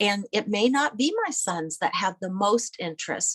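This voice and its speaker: A woman talks in an American accent at a moderate pace with ordinary pitch variation. It is an unremarkable speaking voice, with a dry, close sound and no echo. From US Midwest, Iowa. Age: 60s. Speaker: family historian and photographer. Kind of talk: interview conversation.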